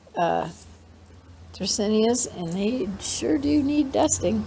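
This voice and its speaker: Very slowly, a woman talks with very wide pitch swings. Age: 70s. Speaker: plant hobbyist video host. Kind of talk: casual plant tour narration. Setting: indoors, living room. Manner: rambling, halting with fillers.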